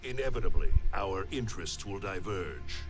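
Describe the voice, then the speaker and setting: A man's put-on character voice at a fairly low pitch and moderate pace, with clear music in the background. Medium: machinima. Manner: solemn, measured.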